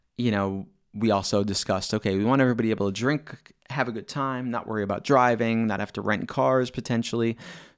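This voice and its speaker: An unremarkable speaking voice from a man at medium pitch, fairly quick, with ordinary pitch variation, on a very clean recording with a silent background. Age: 40s. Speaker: DJ and podcast host. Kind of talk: casual solo monologue. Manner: conversational with filler words.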